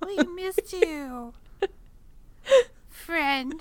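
A woman performs a put-on character voice that is squeaky and extremely high-pitched. Her intonation is lively throughout. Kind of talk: unnatural, stilted speech. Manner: creepy, eerie.

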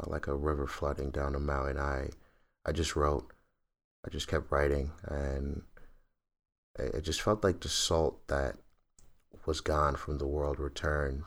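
In a very clean recording with a silent background, a man with a very deep, low pitch speaks with long, frequent pauses. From northern West Africa. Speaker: podcast co-host telling a travel story. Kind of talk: casual storytelling interview.

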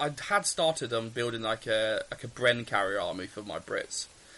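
A man speaks in an English accent at a moderate pace. His intonation is lively. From England. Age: 30s. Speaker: tabletop wargaming podcaster. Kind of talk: casual chat.

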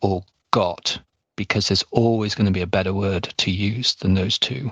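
A man's fairly low voice with an English accent and fairly even intonation, dry and close with no echo, in a very clean recording with a silent background. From England. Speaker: podcast host. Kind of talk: interview.

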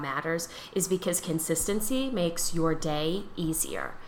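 There is audible room echo as a woman with an American accent speaks at a fairly low pitch. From Pennsylvania, near Philadelphia. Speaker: tailor. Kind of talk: casual chat.

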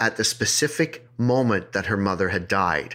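Speaking with an ordinary speaking voice, this man keeps a medium pitch and a moderate pace. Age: 50s. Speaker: podcast host, storyteller. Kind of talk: casual chat with storytelling. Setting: remote recording over internet.

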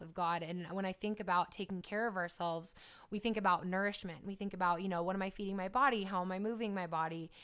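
Speaking at a fairly quick pace, a woman has a plain, everyday voice at a medium pitch. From California. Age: 20s. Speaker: fitness trainer and YouTuber. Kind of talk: interview.

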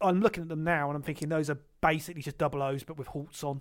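In a very clean recording with a silent background, a man speaks with a fairly high pitch. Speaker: board game podcast host. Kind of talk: casual banter podcast chat. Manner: wry, sarcastic, joking.

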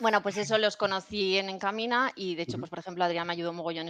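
A woman's plain, everyday voice, fairly low in pitch, at a fairly quick pace. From Spain, Valencia (Puerto de Sagunto). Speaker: cloud specialist, IT consultant. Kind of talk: casual interview.

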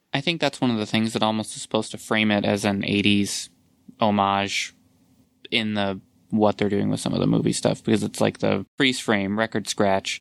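In an ordinary speaking voice at a moderate pace, the speaker keeps fairly even intonation and very even loudness, in a very clean, dry, close recording with no echo and a silent background. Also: man, fairly low pitch for a man. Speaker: podcast host. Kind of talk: casual chat.

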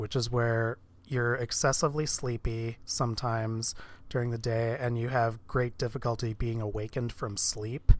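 Fairly even intonation marks a plain, everyday voice on a very clean recording with a silent background. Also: man. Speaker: podcast co-host. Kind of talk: casual podcast chat.

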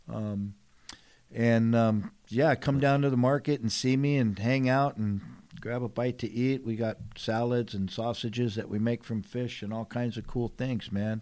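With a Southern Californian accent, a man talks at a fairly slow pace in a medium pitch, his tone dark and mellow and his intonation fairly even. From San Diego, California. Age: 60s. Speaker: TV host and retired commercial fisherman. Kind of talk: casual interview conversation. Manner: casual, filler-heavy speech.

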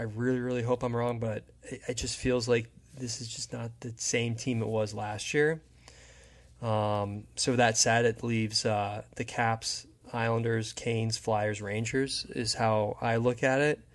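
A man with an American accent speaks at a medium pitch and a fairly slow pace. His intonation is monotone and flat, against a quiet background. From US Northeast, New Jersey. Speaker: hockey fan, former goalie. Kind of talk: casual chat.

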